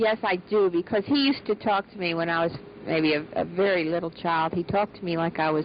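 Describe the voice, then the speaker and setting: This woman's pitch is fairly low, with ordinary variation. There is noticeable background noise. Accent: American. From US, Baltimore. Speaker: interviewee, daughter of a scientist. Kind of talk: interview testimony.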